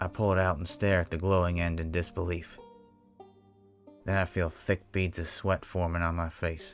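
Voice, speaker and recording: With music in the background, a man speaks at a very deep, low pitch and moderate pace in a monotone, flat intonation, with long, frequent pauses. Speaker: horror story narrator. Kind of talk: Western horror story narration, first-person.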